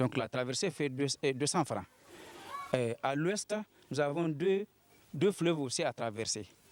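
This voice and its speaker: A man talks at a fairly slow pace with lively intonation and a fairly high pitch. Noticeable background noise sits behind him. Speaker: villager interviewed. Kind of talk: news interview. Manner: halting.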